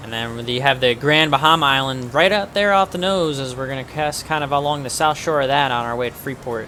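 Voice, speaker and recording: Here a man speaks at a medium pitch and a fairly quick pace in a relaxed tone. Noticeable background noise runs underneath. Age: 20s. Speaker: flight sim streamer. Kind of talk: live stream commentary. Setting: home streaming setup with webcam. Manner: casual, relaxed.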